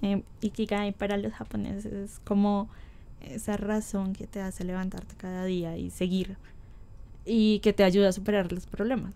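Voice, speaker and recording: A woman's dark, mellow voice in a monotone, flat intonation at a moderate pace. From Colombia. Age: 20s. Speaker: writer and poet; poet. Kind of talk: interview. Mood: relaxed, friendly. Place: home room. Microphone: studio mic.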